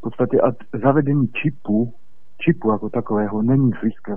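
Here is a man with an unremarkable speaking voice and ordinary pitch variation. His pace is fairly quick. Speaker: caller. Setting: phone call.

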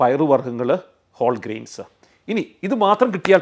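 A man's fairly high voice with vocal fry and very wide pitch swings. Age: 40s. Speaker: doctor. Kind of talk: health explainer to camera.

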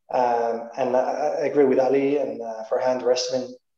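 Audible room echo sits behind a man of medium pitch who speaks at a fairly slow pace against a quiet background. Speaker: venture capital investor. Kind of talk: panel discussion. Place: home room. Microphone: video call.

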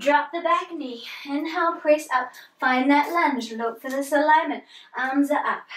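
A woman speaks at a high pitch and a fairly slow pace. Her pitch varies in an ordinary way, with audible room echo around her. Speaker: yoga instructor. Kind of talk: guided yoga class with spoken cues, pose by pose. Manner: calm, encouraging, steady, relaxed and instructive; gentle, unhurried, with soft informal asides. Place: home room. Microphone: camera far.

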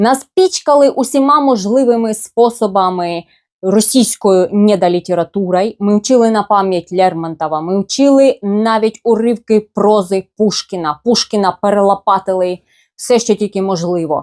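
Speaking at a fairly slow pace, a woman has an ordinary speaking voice of medium pitch with ordinary pitch variation, in a dry, close sound with no echo. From eastern Ukraine, Luhansk. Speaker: blogger. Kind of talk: personal storytelling.

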